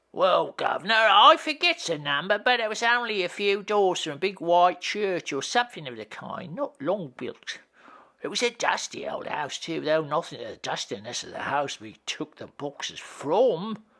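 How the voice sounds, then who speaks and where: Moderate pace, middle pitch, and a put-on character voice. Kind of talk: rough dialect speech. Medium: read story. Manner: colloquial, rambling.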